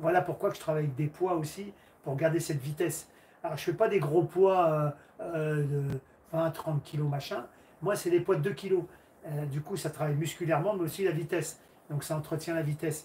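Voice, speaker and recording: A man at a fairly quick pace, fairly high in pitch, with fairly even intonation and long, frequent pauses. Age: 60s. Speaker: karate teacher. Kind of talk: livestream Q&A chat. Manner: halting.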